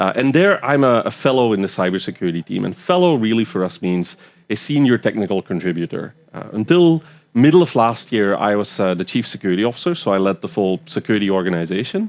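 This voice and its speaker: In a Belgian accent, the voice races at a very fast pace with very wide pitch swings. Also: man, fairly low pitch for a man. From Belgium. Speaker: cybersecurity expert. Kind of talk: podcast interview. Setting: live festival recording. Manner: hesitant fillers.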